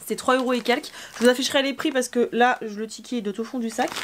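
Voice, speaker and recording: A very fast voice with ordinary pitch variation amid noticeable background noise. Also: woman. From Normandy, France. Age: 20s. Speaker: beauty youtuber and pageant queen. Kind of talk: casual haul vlog. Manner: chatty, hesitant with fillers.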